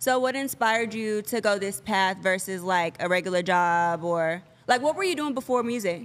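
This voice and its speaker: A woman's medium-pitched voice at a moderate pace, with lively intonation. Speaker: podcast host. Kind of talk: casual interview chat. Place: studio. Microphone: studio mic.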